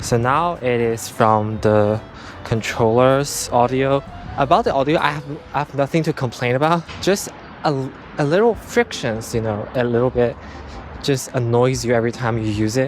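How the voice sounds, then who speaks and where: Over noticeable background noise, a man talks in a medium pitch with ordinary pitch variation. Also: moderate pace. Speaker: tech vlogger. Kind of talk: casual product review vlog. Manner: loud, expressive; halting, with restarts.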